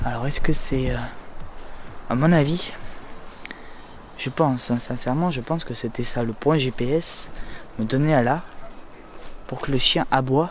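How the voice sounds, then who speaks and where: A man speaks in a medium pitch with ordinary pitch variation. He leaves long, frequent pauses. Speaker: urban explorer vlogger. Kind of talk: casual vlog. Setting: outdoors. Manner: hesitant.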